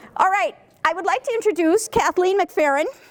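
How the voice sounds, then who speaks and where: Over noticeable background noise, a woman talks at a fairly quick pace in an animated tone. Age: 60s. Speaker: activist group organizer. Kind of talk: meeting facilitation.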